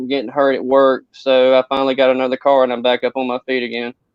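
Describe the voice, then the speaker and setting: The speech comes at a very fast pace. It carries a Southern US accent. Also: man. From North Carolina, Eden. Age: 20s. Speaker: person in recovery. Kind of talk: personal testimony.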